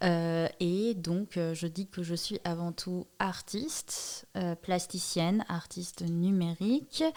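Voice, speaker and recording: A woman with a Persian accent speaks very slowly in a fairly low voice, keeping her intonation fairly even and hardly pausing at all. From Iran, Tehran. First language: Persian (speaking French). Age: 20s. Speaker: artist and digital mediator. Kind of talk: podcast interview. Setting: recording at her workplace lab. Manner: hesitant, many fillers.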